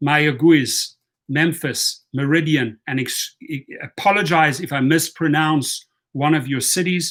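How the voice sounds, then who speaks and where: This man speaks at a very slow pace with a South African accent. His pitch is fairly high, with ordinary pitch variation. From born in Washington, D.C. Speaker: campaign advocate giving shout-outs to cities. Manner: reads a long list of city names, occasionally stumbling over pronunciations.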